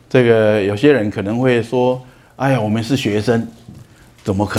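Audible room echo surrounds a man's fairly low voice. He speaks at a fairly slow pace with fairly even intonation. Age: 60s. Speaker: lecturer on emotional management. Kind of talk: lecture. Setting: lecture hall with audience.

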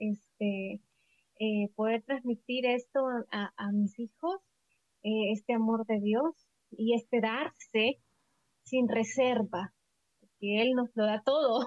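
A woman at a very slow pace, fairly high in pitch, with ordinary pitch variation and long, frequent pauses. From El Salvador. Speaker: missionary and physiotherapist. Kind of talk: interview testimony.

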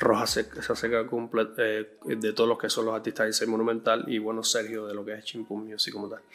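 Over noticeable background noise, a man talks at a fairly quick pace and medium pitch in monotone, flat intonation, with hardly any pauses. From Cuba. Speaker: music producer and bassist. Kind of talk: interview. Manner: halting, many repetitions.

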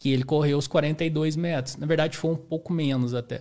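His dark, mellow tone stays on fairly even intonation as the man speaks. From Brazil, southern Minas Gerais. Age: 30s. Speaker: amateur ultramarathon runner. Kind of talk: podcast interview. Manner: casual.

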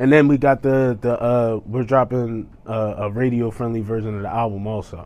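With an American accent, a man in an unremarkable speaking voice talks at medium pitch with fairly even intonation and hardly any pauses. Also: moderate pace. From New Jersey. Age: 30s. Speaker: rapper. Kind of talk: casual interview; self-promotion. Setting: studio.

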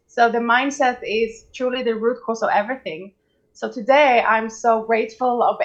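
A woman with a Swedish accent speaks at a moderate pace and a fairly high pitch over a quiet background. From Sweden. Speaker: mindset coach. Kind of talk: interview.

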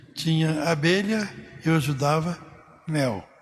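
Audible room echo surrounds a man's voice. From Brazil, São Paulo state interior. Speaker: priest. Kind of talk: casual interview, life story.

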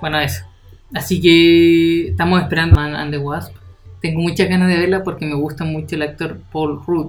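A man with a Chilean accent talks at a moderate pace and fairly high pitch with fairly even intonation, with audible room echo and music in the background. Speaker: podcast co-host. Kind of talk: casual chat.

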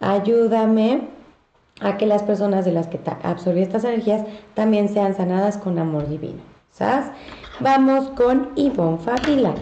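With a Mexican accent, a woman of medium pitch speaks at a fairly slow pace with lively intonation and long, frequent pauses, in audible room echo. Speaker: psychic medium delivering angel messages. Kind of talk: live-stream reading of viewer messages. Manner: animated.

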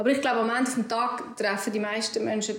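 Over audible room echo, a woman with a fairly high pitch talks at a fairly quick pace with fairly even intonation. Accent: Swiss. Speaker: entrepreneur, cosmetics founder. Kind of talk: interview.

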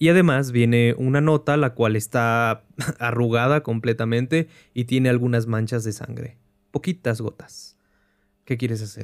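A man speaks in a plain, everyday voice, medium in pitch, fairly slow and fairly even in intonation. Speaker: game master and podcast host. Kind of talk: tabletop horror narration, game master describing scenes to players.

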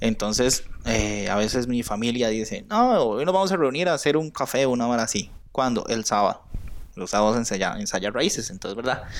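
A man's plain, everyday voice at a medium pitch, with lively intonation and a fairly quick pace. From Costa Rica, Aserrí. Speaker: podcast co-host, folk dancer. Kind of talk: casual chat.

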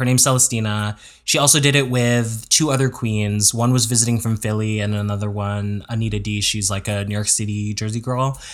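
On a very clean recording with a silent background, a man talks in a normal speaking voice at a fairly quick pace with hardly any pauses. His pitch is medium and his intonation fairly even. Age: 30s. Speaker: podcast co-host. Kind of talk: casual chat. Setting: home recording.

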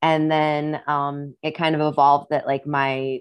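With a Midwestern US accent, a woman speaks in a very deep, low pitch and a monotone, flat intonation. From US Midwest. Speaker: singer-songwriter and actress. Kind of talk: casual interview chat. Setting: video call. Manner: laid-back, chatty.

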